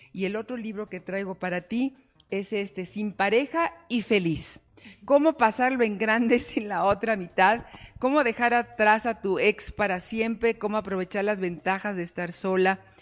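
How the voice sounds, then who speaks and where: Noticeable background noise sits behind a woman speaking at a fairly slow pace. Her pitch is fairly high, with ordinary variation. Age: 50s. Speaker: life coach and show host. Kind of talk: talk show interview.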